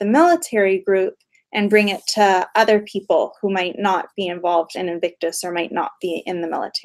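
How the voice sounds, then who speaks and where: Here a woman with a Canadian accent uses an ordinary speaking voice at medium pitch. Her pace is moderate. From Western Canada, Calgary. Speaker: behavioural scientist. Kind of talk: Q&A with school class.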